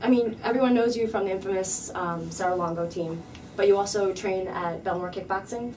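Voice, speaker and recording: Moderate pacing from a woman amid noticeable background noise and audible room echo. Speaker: MMA journalist. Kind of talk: interview. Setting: gym.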